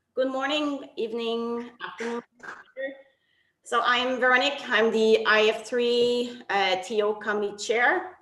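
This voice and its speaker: A woman with a French accent amid audible room echo. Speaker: technical officials committee chair. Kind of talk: online briefing. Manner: halting.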